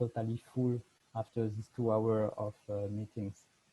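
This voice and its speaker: With a French accent, a man talks at a moderate pace and medium pitch in a somewhat breathy voice with a dark, mellow tone and monotone, flat intonation. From France. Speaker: fashion designer. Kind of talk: lecture. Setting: video call. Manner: halting.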